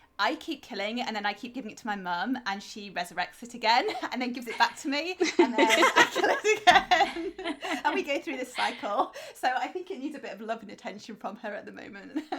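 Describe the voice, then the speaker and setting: A woman's high-pitched voice in a British accent, fairly quick, with very wide pitch swings, big swings in loudness and noticeable background noise. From England. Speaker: podcast co-host, author. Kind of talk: casual chat.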